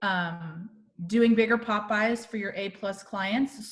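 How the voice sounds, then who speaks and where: The pitch sits in the medium range. The speaker is a woman. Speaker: real estate marketing presenter. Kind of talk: webinar presentation. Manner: fast.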